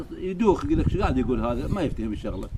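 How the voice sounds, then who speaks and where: Lively intonation over noticeable background noise. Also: man. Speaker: online video host. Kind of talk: casual talk to camera in colloquial dialect.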